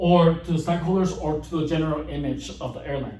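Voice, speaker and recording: With audible room echo and noticeable background noise, a man speaks at a moderate pace in a high pitch with ordinary pitch variation. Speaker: youtuber. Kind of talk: casual explainer monologue. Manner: halting, many repetitions and restarts.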